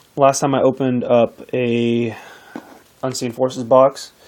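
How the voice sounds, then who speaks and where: There is noticeable background noise behind a man's voice. He speaks at a medium pitch with monotone, flat intonation. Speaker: pack opening video creator. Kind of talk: casual tutorial-style unboxing talk. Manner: hesitant, filler-heavy.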